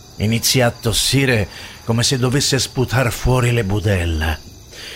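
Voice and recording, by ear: Natural-voiced reading aloud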